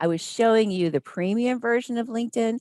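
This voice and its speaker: Lively in intonation, a woman talks at a fairly quick pace in a dark, mellow tone, with a dry, close sound with no echo. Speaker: hospitality sales trainer. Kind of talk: webinar presentation.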